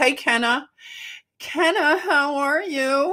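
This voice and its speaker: An animated, bright and sharp tone comes through with a Philadelphia accent. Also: woman. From Philadelphia, US. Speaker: livestream host. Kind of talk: casual livestream chat. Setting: live stream. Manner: chatty, animated.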